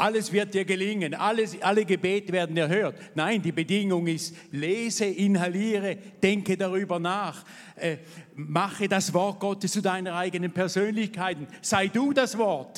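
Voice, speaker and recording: A high-pitched man at a moderate pace, with fairly even intonation. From Switzerland, Thurgau. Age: 70s. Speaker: pastor and Bible school founder. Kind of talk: interview testimony in church service.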